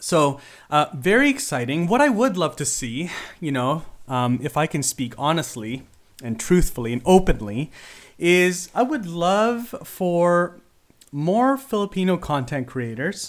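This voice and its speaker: A man with a Canadian accent, high-pitched with very wide pitch swings, in a very clean recording with a silent background. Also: fairly slow pace. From Philippines until age ten, then Canada. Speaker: podcast host. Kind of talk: solo podcast monologue. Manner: casual with frequent fillers.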